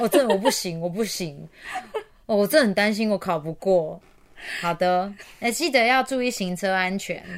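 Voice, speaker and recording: A normal speaking voice from a woman, medium in pitch, fairly quick, with ordinary pitch variation. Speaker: podcast host. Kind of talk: casual chat.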